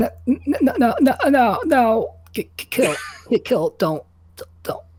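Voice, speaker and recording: A put-on character voice, robotic and high-pitched, speaks at a very slow pace. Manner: frantic, pleading.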